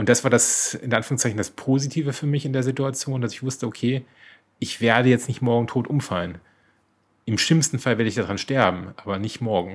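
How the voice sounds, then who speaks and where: On a very clean recording with a silent background, a man with an ordinary speaking voice keeps a fairly quick pace, his medium pitch showing ordinary variation. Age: 40s. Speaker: podcast co-host sharing his cancer diagnosis. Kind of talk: personal testimony in interview.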